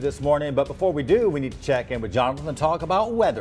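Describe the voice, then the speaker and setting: Music plays in the background as a man talks at a very fast pace. His pitch is fairly high. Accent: American. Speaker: TV news anchor and reporter. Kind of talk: studio news anchor read.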